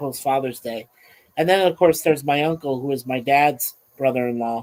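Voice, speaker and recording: A man speaks at a moderate pace and a medium pitch. It is a plain, everyday voice. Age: 60s. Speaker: livestream host. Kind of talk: casual chat. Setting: livestream.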